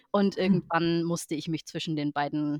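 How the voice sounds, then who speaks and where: Over a quiet background, a woman with a very deep, low pitch speaks at a moderate pace with ordinary pitch variation, the sound dry and close with no echo. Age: 30s. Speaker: Icelandic horse professional and show judge. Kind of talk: interview.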